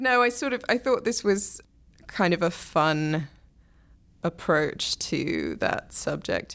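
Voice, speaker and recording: A woman speaks at a very slow pace with a fairly low pitch, lively intonation and vocal fry. The recording is very clean with a silent background. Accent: English. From England. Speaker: books columnist. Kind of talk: casual chat.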